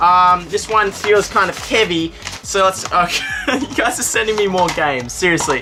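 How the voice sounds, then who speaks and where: With an Australian accent, a woman talks in an animated tone and lively intonation while music plays in the background. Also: medium pitch for a woman, moderate pace. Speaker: YouTuber. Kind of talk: casual vlog, opening fan mail.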